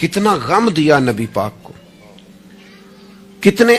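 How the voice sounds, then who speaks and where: Very wide pitch swings over music in the background. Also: man. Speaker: Islamic preacher. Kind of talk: religious sermon. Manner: emotional, impassioned.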